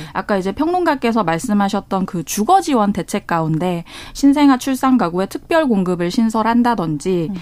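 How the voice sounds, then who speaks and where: Noticeable background noise sits behind a woman whose fairly high voice makes very wide pitch swings at a moderate pace. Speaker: journalist. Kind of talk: radio news discussion. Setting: radio studio.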